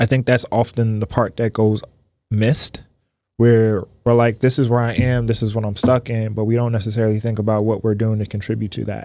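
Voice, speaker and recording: A man speaks at a fairly quick pace in a monotone, flat intonation, his tone dark and mellow. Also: medium pitch for a man. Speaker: psychologist. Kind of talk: podcast interview conversation. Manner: reflective, pauses to think.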